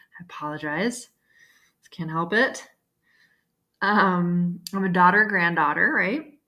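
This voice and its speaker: A fairly low-pitched woman's voice, bright and sharp in tone, at a fairly slow pace with long, frequent pauses, big swings in loudness and ordinary pitch variation. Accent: Chicago. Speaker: school counselor. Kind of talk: classroom lesson video. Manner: casual, filler-heavy (okay, right, um).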